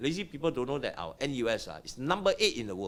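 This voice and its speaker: Fairly quick, animated delivery with a Singaporean accent. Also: man. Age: 60s. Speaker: property investor and business owner. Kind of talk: podcast interview.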